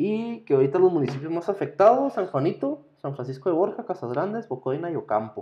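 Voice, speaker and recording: A man speaks in a high voice with very wide pitch swings, moving at a fairly quick pace with hardly any pauses. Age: 30s. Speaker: podcast co-host, nurse or doctor. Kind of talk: casual chat.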